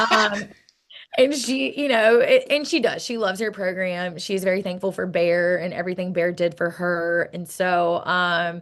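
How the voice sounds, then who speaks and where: The woman's pitch sits at a medium level and varies in an ordinary way. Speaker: college softball head coach. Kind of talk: interview. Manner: fast; animated.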